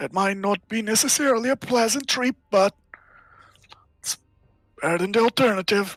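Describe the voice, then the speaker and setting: The speaker uses a put-on character voice with a fairly high pitch. The pace is moderate, broken by long, frequent pauses. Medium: actual play.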